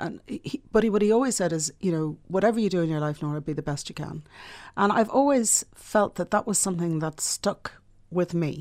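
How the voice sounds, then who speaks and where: A woman with a Dublin accent speaks at a fairly quick pace with ordinary pitch variation, on a very clean recording with a silent background. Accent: Dublin Irish. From Ireland, Dublin. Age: middle-aged. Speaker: publishing entrepreneur. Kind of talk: interview.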